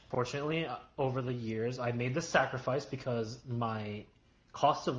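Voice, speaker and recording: A man's somewhat breathy, medium-pitched voice at a moderate pace, with fairly even intonation. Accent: American. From New York, US. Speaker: YouTuber. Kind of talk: casual chat.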